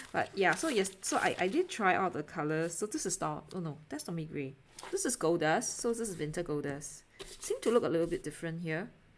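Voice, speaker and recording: A woman with a Singaporean accent talks at a fairly quick pace and fairly low pitch. Light background noise can be heard. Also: ordinary pitch variation. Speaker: artist live streamer. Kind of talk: casual live stream chat while painting. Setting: live stream at home. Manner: hesitant, many fillers. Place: home room.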